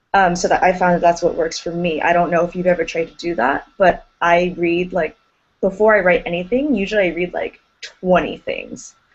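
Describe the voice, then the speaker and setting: A woman with an American accent has an unremarkable speaking voice. Her pitch is fairly low, with ordinary variation. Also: moderate pace. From United States. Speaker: grad school applicant. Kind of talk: group discussion.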